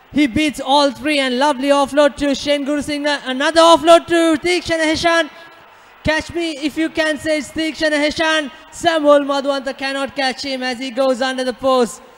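Against noticeable background noise, a man with an extremely high pitch speaks at a moderate pace and with fairly even intonation. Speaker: rugby commentator. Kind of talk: live sports commentary.

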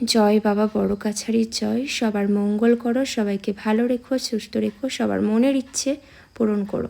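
A woman speaks at a moderate pace with vocal fry. Her tone is slightly mellow, and her intonation stays fairly even. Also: medium pitch for a woman.

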